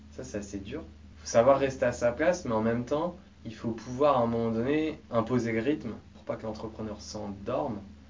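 Amid noticeable background noise and audible room echo, a man talks at a medium pitch and moderate pace, with ordinary pitch variation and big swings in loudness. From France, Mayenne. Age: 20s. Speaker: startup coach. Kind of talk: interview.

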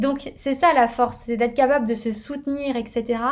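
Here a woman speaks at a high pitch. Her pace is moderate and her intonation fairly even. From northern France. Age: 20s. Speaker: podcast host. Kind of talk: personal monologue. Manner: casual with many fillers.

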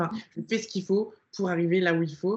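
A woman speaks at a fairly slow pace. Her voice is somewhat breathy, with fairly even intonation. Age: 20s. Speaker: online fitness coach and bodybuilding athlete. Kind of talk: casual interview chat.

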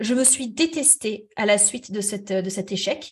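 A woman talks at a very slow pace. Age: 30s. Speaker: therapist. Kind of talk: interview.

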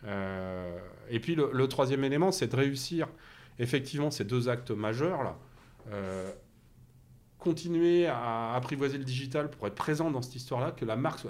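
This man's pitch sits in the medium range. His intonation is lively and his pace moderate. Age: 50s. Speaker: company CEO. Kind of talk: interview conversation. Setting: in person at the company site. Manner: halting, many repetitions and fillers.

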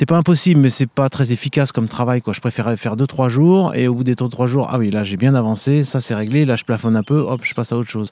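A man with a dark, mellow tone rattles along at a very fast pace with hardly any pauses. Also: medium pitch for a man, ordinary pitch variation, very clean recording, silent background. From France, Vendée. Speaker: orchestral trumpeter and conservatory professor. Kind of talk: interview. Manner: hesitant, many fillers.

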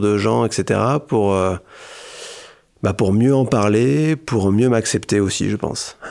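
Very slowly, a man talks in a fairly low voice. His pitch varies in an ordinary way. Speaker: association delegate who stutters. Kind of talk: interview testimony. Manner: stuttering, repetitions.

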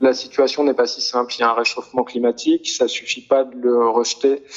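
Fairly quick pace from a male speaker. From France, near Grenoble. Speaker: sound artist. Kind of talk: interview. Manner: halting.

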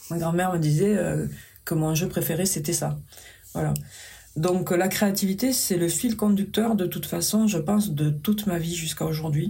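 With a southwestern French accent, a woman speaks at a moderate pace in a fairly low pitch, her dark, mellow tone carrying vocal fry and ordinary pitch variation amid audible room echo. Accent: southwestern French accent, still present. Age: 50s. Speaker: paper sculptor and craftswoman. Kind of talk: interview conversation. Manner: gentle, soft.

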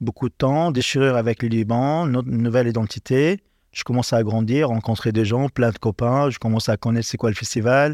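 A man with an ordinary speaking voice talks at a fairly quick pace, medium pitch and fairly even intonation. The recording is very clean with a silent background and a dry, close sound with no echo. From Lebanon. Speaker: chef. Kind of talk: interview.

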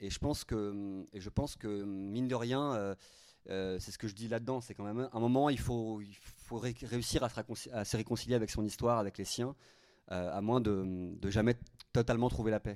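In a very clean recording with a silent background, a man speaks fairly slowly with medium pitch and fairly even intonation. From Paris suburbs, France. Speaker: novelist. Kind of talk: author talk at a library. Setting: library event with audience. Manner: halting, many repetitions.

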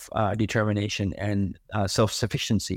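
Recorded very cleanly against a silent background, a man speaks at a moderate pace with a dry, close sound and no echo. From Elsipogtog, New Brunswick, Canada. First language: Mi'kmaq. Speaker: filmmaker, painter and music producer. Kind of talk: interview, reflective storytelling.

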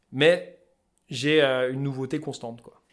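A man with a Vosges accent is heard on a very clean recording with a silent background. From France, Vosges. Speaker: fly-tying craftsman and entrepreneur. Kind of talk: interview conversation. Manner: casual, colloquial.

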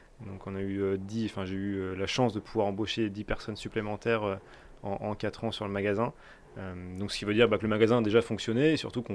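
His intonation stays fairly even and his pitch fairly low. The man talks fairly quickly. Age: 20s. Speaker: business owner. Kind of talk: interview. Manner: halting.

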